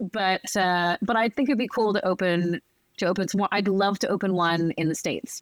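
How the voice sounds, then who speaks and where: In a plain, everyday voice, a woman with an American accent talks at a fairly quick pace with medium pitch, ordinary pitch variation and very even loudness, in a very clean recording with a silent background and a dry, close sound with no echo. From US East Coast (Northern Virginia). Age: 40s. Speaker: pastry chef and entrepreneur. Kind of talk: casual chat.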